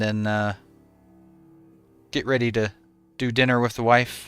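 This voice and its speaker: A man with a slight Southern US accent speaks at a medium pitch and moderate pace in a relaxed tone. His intonation is monotone and flat, with music in the background. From Tennessee, US South. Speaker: game streamer. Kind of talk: casual chat with live stream viewers. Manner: relaxed, chatty.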